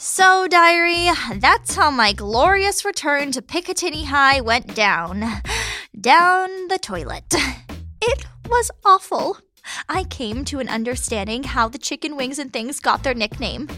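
In a raised, projected voice, a woman speaks at a fairly slow pace with a high pitch, very wide pitch swings, and a bright, sharp tone that is animated and dramatic. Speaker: comedic fiction lead narrator. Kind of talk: scripted comedic audio drama narration. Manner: animated, sarcastic, dramatic.

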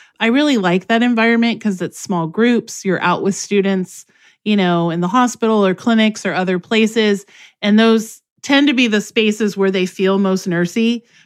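Against a quiet background, a woman with a medium pitch and ordinary pitch variation talks in an unremarkable speaking voice. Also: moderate pace. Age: 50s. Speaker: nursing instructor. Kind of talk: interview.

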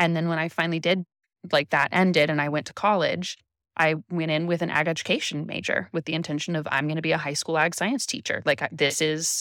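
Heard in a very clean recording with a silent background, a woman with an American accent speaks at a fairly low pitch. She has a plain, everyday voice with fairly even intonation and a dry, close sound with no echo. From California, Central Coast. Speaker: artist and event stationery designer. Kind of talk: casual interview chat.

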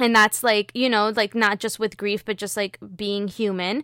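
A woman's plain, everyday voice with an American accent, medium in pitch and fairly even in intonation, in a very clean recording with a silent background and a dry, close sound with no echo. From Miami, Florida. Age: 20s. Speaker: podcaster. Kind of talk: casual interview about grief.

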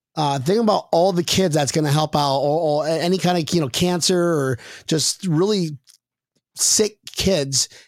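Speaking at a fairly slow pace in an animated tone, a man with a fairly high pitch and ordinary pitch variation keeps a very even loudness on a very clean recording with a silent background. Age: 30s. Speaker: sports podcast host. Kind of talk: casual chat.

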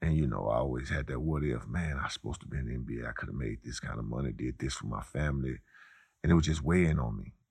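A man with an American accent and vocal fry speaks at a very fast pace with a very deep, low pitch and ordinary pitch variation. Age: 40s. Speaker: former college basketball player. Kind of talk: interview.

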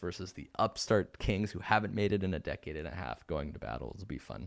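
With vocal fry and very wide pitch swings, a man speaks at a fairly quick pace. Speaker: podcast host. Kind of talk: casual chat about basketball. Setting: video call.

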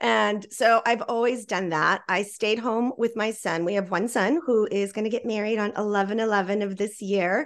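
A woman with an American accent in an unremarkable speaking voice, at a fairly high pitch and a moderate pace, fairly even intonation, hardly any pauses and a quiet background. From Texas, Laredo. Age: 50s. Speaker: feng shui expert and author. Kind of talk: interview.

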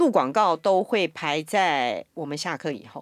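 A woman's fairly low voice with lively intonation, a dry, close sound with no echo, and a very clean recording over a silent background. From Taiwan. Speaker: voice actor. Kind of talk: casual chat.

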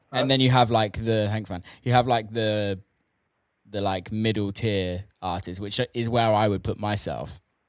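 At a moderate pace, a man talks in a plain, everyday voice, fairly low in pitch with fairly even intonation. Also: very clean recording, silent background. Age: 30s. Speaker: podcast host and DJ. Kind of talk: casual chat.

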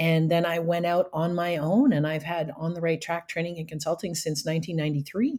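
A woman with a Canadian accent and a fairly low pitch talks at a fairly quick pace, with hardly any pauses, fairly even intonation and an unremarkable speaking voice. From Canada, rural area outside Ottawa. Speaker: professional speaker and trainer. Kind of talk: interview.

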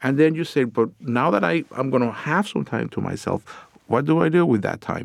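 Vocal fry marks this man's medium-pitched voice, delivered at a moderate pace with lively intonation. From Puerto Rico. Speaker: psychiatrist. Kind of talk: casual interview.

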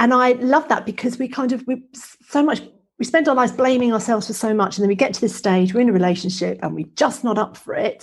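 Speaking at a very fast pace, a woman with a fairly high pitch and a somewhat breathy voice shows ordinary pitch variation and big swings in loudness. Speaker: podcast host, menopause educator. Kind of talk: casual interview.

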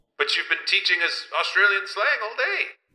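A man speaks at a fairly quick pace in a put-on character voice, high-pitched for a man, with big pitch swings and a bright, sharp tone.

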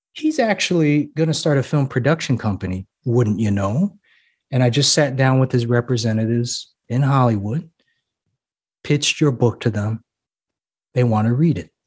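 At a moderate pace, a man with a medium pitch and a somewhat breathy voice speaks with ordinary pitch variation and long, frequent pauses. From Hawaii. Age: 30s. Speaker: novelist and university lecturer. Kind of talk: interview testimony.

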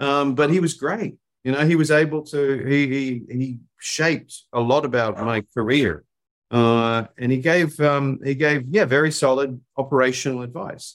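A New Zealand accent at a moderate pace with ordinary pitch variation. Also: man, fairly high pitch for a man. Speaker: marketing agency CEO. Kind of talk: interview.

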